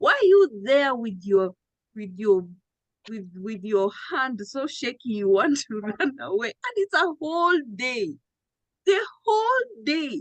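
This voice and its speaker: Her voice high-pitched, a woman speaks very slowly with very wide pitch swings and big swings in loudness. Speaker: trading coach. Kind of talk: live trading town hall. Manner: animated.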